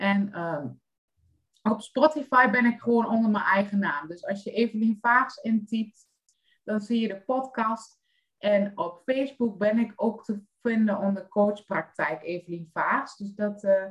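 At a fairly slow pace, a woman speaks in an unremarkable speaking voice, her fairly high pitch showing ordinary variation. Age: 30s. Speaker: life coach. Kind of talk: casual chat.

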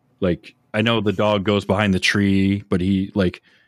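A man speaks at a very slow pace in a fairly low pitch, with a dry, close sound and no echo. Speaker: podcast co-host. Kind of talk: casual chat.

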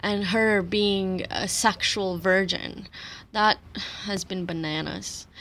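Here a woman speaks at a very slow pace with medium pitch. Her intonation is monotone and flat. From Slovenia. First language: Slovenian. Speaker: astrology podcaster. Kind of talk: solo monologue on astrology. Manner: playful, laughing often.

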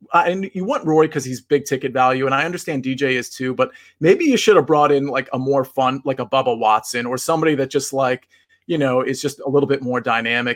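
A man with an unremarkable speaking voice moves at a fairly quick pace, his pitch varying in an ordinary way. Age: 20s. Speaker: sports betting analyst and co-host. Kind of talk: casual chat.

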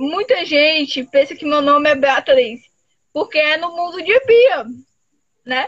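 The pace is fairly slow, with long, frequent pauses. Intonation is lively. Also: woman, high pitch for a woman. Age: 20s. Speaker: podcast host. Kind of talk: casual chat. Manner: talkative.

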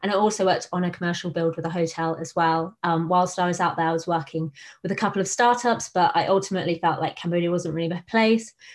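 Speaking very fast with hardly any pauses, a woman uses a fairly low pitch and fairly even intonation. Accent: southern English. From southern England, Buckinghamshire. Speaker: design researcher. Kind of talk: presentation talk. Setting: video call. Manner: hesitant, many fillers.

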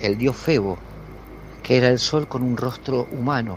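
Noticeable background noise runs under speech delivered at a fairly slow pace with fairly even intonation. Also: man. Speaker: storyteller sharing a paranormal experience. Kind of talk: first-person storytelling. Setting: outdoors in a backyard.

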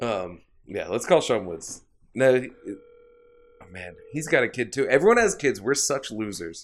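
With vocal fry and a medium pitch, a man speaks at a fairly slow pace, with long, frequent pauses, very wide pitch swings and big swings in loudness. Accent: American. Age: 30s. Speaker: podcast co-host, comedian. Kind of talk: casual chat. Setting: studio.

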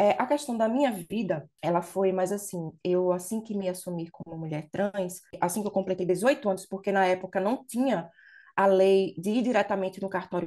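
Ordinary pitch variation and a dark, mellow tone shape this woman's voice. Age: 20s. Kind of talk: casual interview.

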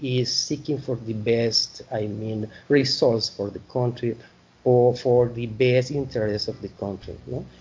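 Noticeable background noise sits under a man's medium-pitched voice as he talks at a fairly slow pace. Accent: Spanish. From Panama. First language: Spanish. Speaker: guest from Panama discussing immigration. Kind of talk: casual interview. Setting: video call. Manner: halting.

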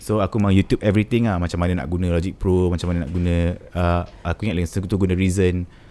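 A man's very deep, low voice with a dark, mellow tone, very fast delivery and fairly even intonation. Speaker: musician. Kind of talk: casual interview chat.

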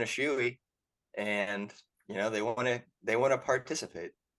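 A man talks at a fairly slow pace in a medium pitch. He has a plain, everyday voice with fairly even intonation. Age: 20s. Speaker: podcast co-host, college student. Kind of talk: casual chat.

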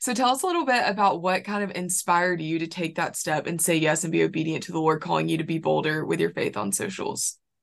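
A woman's fairly low voice in a Southern US accent, very fast with hardly any pauses, over a quiet background. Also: ordinary pitch variation. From Alabama. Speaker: podcast host. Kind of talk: casual chat. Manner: animated.

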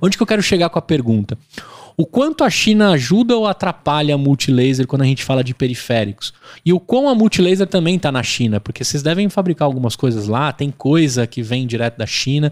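In a very clean recording with a silent background and a dry, close sound with no echo, a man speaks very fast at a fairly high pitch with very wide pitch swings. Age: 30s. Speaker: podcast host. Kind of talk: interview. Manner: animated.

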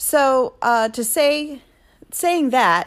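The recording is very clean and the background silent. A woman talks with ordinary pitch variation. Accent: American. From US Midwest, northeast Ohio. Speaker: podcast host. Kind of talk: solo podcast talk, motivational.

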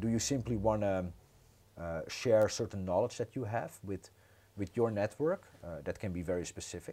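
Delivered at a moderate pace, this man's voice is fairly low in pitch and dark and mellow in tone, with a Dutch accent. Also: ordinary pitch variation. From Netherlands. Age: 30s. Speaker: entrepreneur. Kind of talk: interview.

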